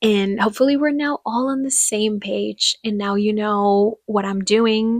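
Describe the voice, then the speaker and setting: A woman with a Spanish accent speaks at a fairly slow pace with hardly any pauses. Her pitch is fairly high, her intonation fairly even, and the sound dry and close with no echo. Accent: Spanish-speaker accent in English. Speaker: podcaster. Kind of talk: casual monologue.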